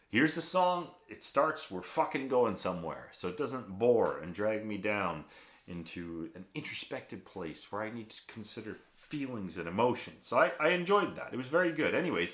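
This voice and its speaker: A man with an American accent talks at a moderate pace. His pitch swings very widely and his loudness rises and falls a lot. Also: medium pitch for a man. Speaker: music reaction youtuber. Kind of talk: casual video commentary. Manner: rambling, many fillers and false starts.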